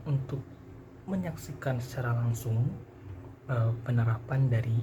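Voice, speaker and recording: Soft-spoken and somewhat breathy, a man with a dark, mellow tone speaks at a moderate pace amid audible room echo. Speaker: university student. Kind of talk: vlog.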